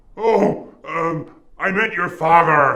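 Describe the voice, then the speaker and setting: The speaker uses a put-on character voice. Every line is shouted. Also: man, high pitch for a man. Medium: short film. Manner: shouty, insulting.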